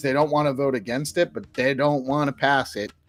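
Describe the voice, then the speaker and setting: A man with a Rhode Island accent, fairly high in pitch, at a fairly quick pace. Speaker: crypto news show host. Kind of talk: live news roundup show. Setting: live stream broadcast. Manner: casual, with fillers and restarts.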